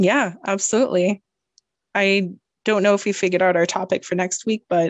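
An unremarkable speaking voice with a Canadian accent, moderate pace and fairly even intonation, in dry, close sound with no echo. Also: woman. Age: 20s. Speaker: podcast co-host. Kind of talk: casual chat.

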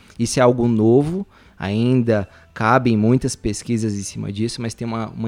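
A man with an ordinary speaking voice talks at a moderate pace in a medium pitch. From Brazil. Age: 30s. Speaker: physiotherapist. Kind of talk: casual podcast chat.

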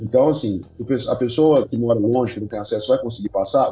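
A man speaks with noticeable background noise. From Brazil, Belo Horizonte (Minas Gerais). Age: 30s. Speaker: online education company CEO. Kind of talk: interview, casual chat. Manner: hesitant, many fillers and repetitions.

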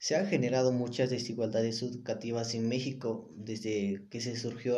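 In a Mexican accent, a man speaks at a medium pitch with a dark, mellow tone and fairly even intonation, and the room echo is audible. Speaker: student. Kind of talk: reading summary presentation. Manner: halting when speaking unscripted.

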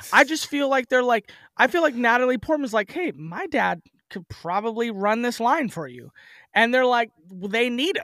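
A man with an American accent uses a raised, projected voice at an extremely high pitch, bright and sharp in tone, with lively intonation. He keeps a moderate pace, and the sound is dry and close with no echo. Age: 30s. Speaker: wrestling promoter. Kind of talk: casual chat. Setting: remote call.

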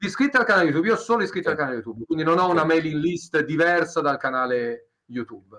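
A man at a very fast pace with hardly any pauses, fairly high in pitch, bright and sharp in tone, with lively intonation. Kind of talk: interview. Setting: live stream.

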